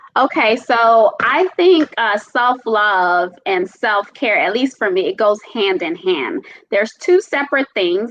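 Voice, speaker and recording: The delivery is animated and fairly slow. Pitch swings very widely throughout. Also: woman. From Caribbean. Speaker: self-love and self-care speaker. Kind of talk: casual chat.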